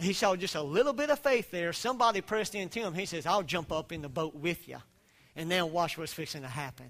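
A man's high voice in a Southern US accent, fairly quick with lively intonation. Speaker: preacher. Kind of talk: sermon. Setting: church. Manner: animated, preacher-style, exhorting the congregation.

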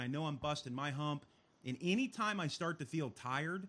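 A loud man at a fairly high pitch, bright and sharp in tone, with lively intonation. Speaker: live web show host. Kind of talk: casual chat. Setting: studio, live stream. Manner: loud, animated.

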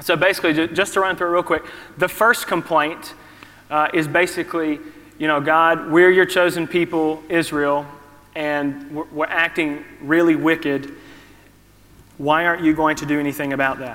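With a Southern US accent, a man speaks at a moderate pace and a fairly high pitch, using monotone, flat intonation over noticeable background noise. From US South. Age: 30s. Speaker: preacher. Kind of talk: sermon. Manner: halting.

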